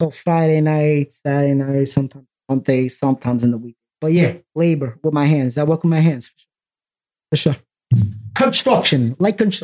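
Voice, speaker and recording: Over music in the background, a man with a fairly high pitch and ordinary pitch variation talks at a fairly quick pace with long, frequent pauses, in a dry, close sound with no echo. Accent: New York. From Brooklyn, New York. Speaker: graffiti artist. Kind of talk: casual chat.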